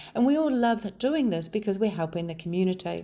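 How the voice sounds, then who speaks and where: Dark and mellow in tone, a woman with a New Zealand accent speaks at a fairly quick pace. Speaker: local election candidate. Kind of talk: campaign video talk to camera.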